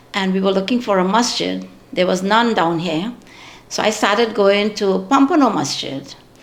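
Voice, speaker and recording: The speech moves at a fairly slow pace with ordinary pitch variation, and audible room echo can be heard. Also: woman. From Trinidad. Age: 70s. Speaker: community elder. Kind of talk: interview. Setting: at home.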